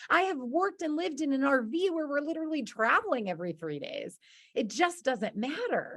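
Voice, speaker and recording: A woman speaks loudly in a high pitch with an animated tone. Her voice moves in very wide pitch swings. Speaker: business coach for freelancers. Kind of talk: online presentation.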